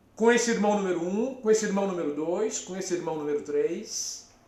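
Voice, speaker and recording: With audible room echo, a man speaks using lively intonation. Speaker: psychologist. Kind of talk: live stream talk. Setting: live stream from therapy office.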